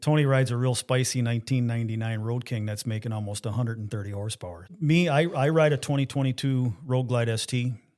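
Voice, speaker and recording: A man with an ordinary speaking voice, fairly quick, with ordinary pitch variation, on a very clean recording with a silent background. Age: 60s. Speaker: motorcycle parts tech and sales rep. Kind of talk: casual podcast conversation.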